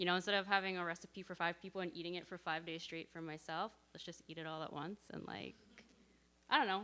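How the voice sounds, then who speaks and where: Loud and very fast, a woman talks with a Canadian accent at a fairly low pitch. Her tone is bright and sharp, and her intonation fairly even. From Canada (Edmonton, Alberta). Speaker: church member sharing testimony. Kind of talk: casual church sharing.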